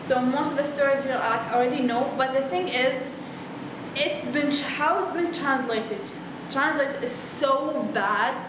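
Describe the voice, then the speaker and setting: The speaker has an Arabic accent and talks at a fairly slow pace with ordinary pitch variation. Audible room echo and noticeable background noise are present. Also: woman, high pitch for a woman. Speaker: book vlogger. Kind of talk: casual monologue book review. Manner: animated; halting.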